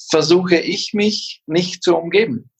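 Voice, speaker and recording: A man with a high voice talks very slowly, his pitch varying in an ordinary way. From Allgäu, Bavaria. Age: 50s. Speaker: event agency owner and ski instructor. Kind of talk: casual interview. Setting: video call.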